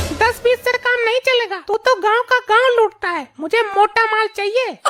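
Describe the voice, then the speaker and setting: A woman in a cartoonish character voice, extremely high in pitch, at a moderate pace over faint music in the background. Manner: loud, scolding.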